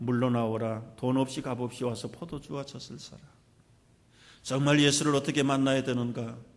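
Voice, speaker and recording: The speaker has an ordinary speaking voice with fairly even intonation. The pace is moderate. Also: man. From South Korea, Jeolla region (Suncheon area). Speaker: pastor. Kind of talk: sermon.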